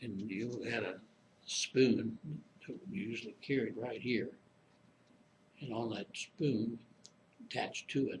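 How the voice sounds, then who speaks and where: Using an American accent, a man speaks fairly slowly at a medium pitch, somewhat breathy, with ordinary pitch variation and long, frequent pauses. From Springfield, Illinois. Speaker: Korean War veteran. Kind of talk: oral history interview answer. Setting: interview room, library.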